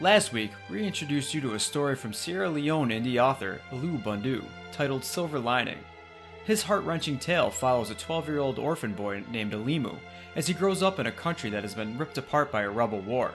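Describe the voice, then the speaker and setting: A medium-pitched man at a fairly quick pace, with very wide pitch swings and music in the background. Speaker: podcast host. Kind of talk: podcast talk.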